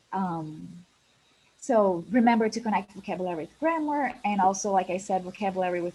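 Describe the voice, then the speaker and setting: A woman with an Italian accent at a moderate pace, with ordinary pitch variation. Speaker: English teacher and webinar presenter. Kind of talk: webinar presentation.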